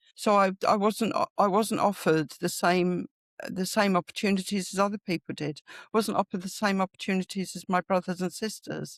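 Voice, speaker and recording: A woman with a London accent, medium pitch and fairly even intonation, at a fairly quick pace, in a dry, close sound with no echo. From London, England. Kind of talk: interview conversation. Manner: halting.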